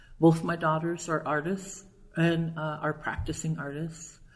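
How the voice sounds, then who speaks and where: A woman's somewhat breathy, fairly low voice at a fairly slow pace, with audible room echo. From Nebraska. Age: 60s. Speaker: educator and poet. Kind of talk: interview. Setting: at a conference.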